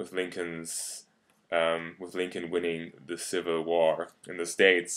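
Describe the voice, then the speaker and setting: On a very clean recording with a silent background, a man with a German accent speaks at a very deep, low pitch. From Germany. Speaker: YouTube commentator. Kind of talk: video response argument. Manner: halting, many fillers.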